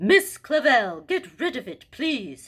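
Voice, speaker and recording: A woman puts on a character voice with a pompous tone and high pitch. She speaks at a fairly slow pace with very wide pitch swings. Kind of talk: children's read-aloud character voice. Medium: read story. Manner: pompous, haughty.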